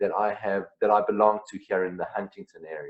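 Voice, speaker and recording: A man with a South African accent. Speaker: singer-songwriter. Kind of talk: interview.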